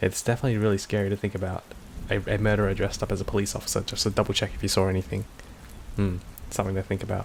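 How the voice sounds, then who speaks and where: An Australian-accented man talks at a very fast pace with fairly even intonation. His voice is fairly low and somewhat breathy. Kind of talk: casual commentary to camera.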